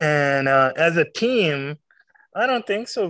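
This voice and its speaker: A man with a Pakistani accent and a fairly high pitch. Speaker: beatball player. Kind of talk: casual chat.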